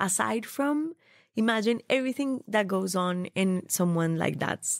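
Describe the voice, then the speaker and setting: Speaking at a fairly slow pace with a slight Colombian accent, a woman uses lively intonation and a medium pitch, recorded dry and close with no echo, very clean against a silent background. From Colombia, Bogota. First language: Spanish. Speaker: food stylist. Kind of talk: interview conversation.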